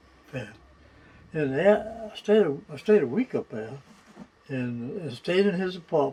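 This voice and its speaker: At a fairly slow pace, a man speaks with very wide pitch swings. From Virginia, Middlesex County (Deltaville). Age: 100 years old. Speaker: war veteran and retired hardware merchant. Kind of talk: oral history interview. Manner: halting, with false starts and repetitions.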